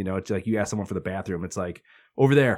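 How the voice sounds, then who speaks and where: Someone with a Midwestern American accent talks at a very fast pace with ordinary pitch variation, in a very clean recording with a silent background. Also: man. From Northwest Indiana. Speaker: media company CEO. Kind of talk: casual interview chat. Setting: studio.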